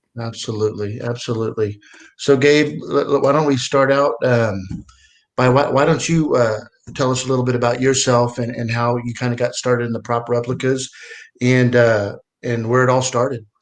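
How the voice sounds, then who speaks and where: This man has a normal speaking voice and keeps a moderate pace. His intonation stays fairly even. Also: medium pitch for a man. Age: 50s. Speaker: collectibles show co-host. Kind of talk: casual chat. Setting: live stream.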